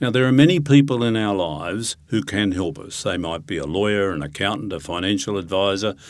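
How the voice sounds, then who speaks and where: With hardly any pauses, a man uses lively intonation at a fairly low pitch in an Australian accent. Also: fairly quick pace. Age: 70s. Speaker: retirement coach and financial planner. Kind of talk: interview.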